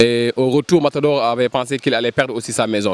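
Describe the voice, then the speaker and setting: A man talks very fast at a medium pitch with fairly even intonation, the sound dry and close with no echo but with noticeable background noise. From Senegal, Dakar (Ouakam). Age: 30s. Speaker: cultural project manager. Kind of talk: interview.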